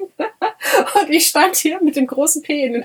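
A woman with lively intonation. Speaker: podcast co-host. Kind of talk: casual chat.

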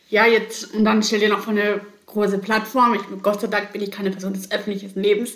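Speaking very fast at a medium pitch, a woman is heard with noticeable background noise and audible room echo. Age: 30s. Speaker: salesperson and student. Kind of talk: casual chat. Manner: animated.

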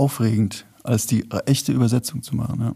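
This voice has a dark, mellow tone with vocal fry. It moves at a moderate pace with fairly even intonation. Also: man. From Rheinhessen, Germany. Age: 40s. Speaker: singer-songwriter and author. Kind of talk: casual chat. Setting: theater with live audience.

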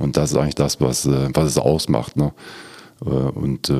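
A man's voice with noticeable background noise. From Lower Rhine, Germany (Schiefbahn). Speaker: utility company department head. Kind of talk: casual interview chat. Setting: studio.

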